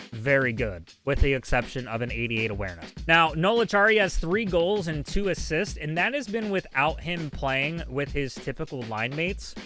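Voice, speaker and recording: A man with very wide pitch swings and hardly any pauses, music playing in the background. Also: fairly high pitch for a man, moderate pace. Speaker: gaming streamer and YouTuber. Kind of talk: casual livestream commentary on game cards. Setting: live on Twitch stream. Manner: some stuttering and repetition.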